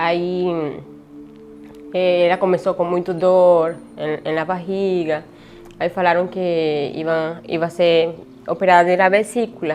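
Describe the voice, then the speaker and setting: Over music in the background, a woman with a Spanish accent speaks fairly slowly in a fairly low pitch, her intonation monotone and flat. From Venezuela. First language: Spanish (speaking Portuguese). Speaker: refugee telling her story. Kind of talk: interview testimony. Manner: halting, many hesitations.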